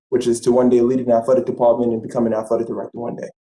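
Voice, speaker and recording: This man speaks at a very fast pace with a New York accent. His pitch sits in the medium range. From Brooklyn, New York. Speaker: sports management alumnus, aspiring athletic director. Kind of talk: panel discussion. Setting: video call.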